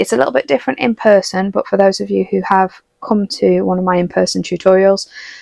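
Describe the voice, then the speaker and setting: Someone with a British accent talks at a fairly quick pace. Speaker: watercolour art teacher. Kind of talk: tutorial. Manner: fast.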